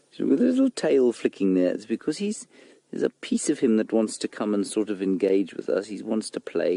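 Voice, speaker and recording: Quiet and at a fairly quick pace, a man speaks in a dry, close sound with no echo. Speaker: safari guide. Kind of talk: live commentary. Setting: outdoors.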